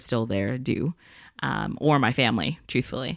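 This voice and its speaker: A woman speaks with a very deep, low pitch and vocal fry. The recording is very clean, with a silent background. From born in Jamaica, raised in South Florida. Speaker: podcast co-host. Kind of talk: casual chat. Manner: animated.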